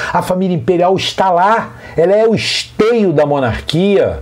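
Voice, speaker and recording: Amid audible room echo and noticeable background noise, a man with a high voice speaks at a fairly slow pace in an animated tone with ordinary pitch variation. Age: 60s. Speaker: teacher and monarchist commentator. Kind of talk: monologue rant.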